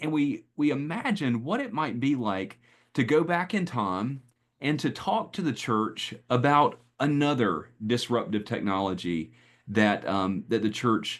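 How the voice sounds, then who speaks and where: A man with a Southern US accent talks at a fairly slow pace with lively intonation over a quiet background. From US Southeast, North Carolina. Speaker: pastor and speaker on AI and faith. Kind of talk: presentation. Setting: video call. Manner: halting, many fillers.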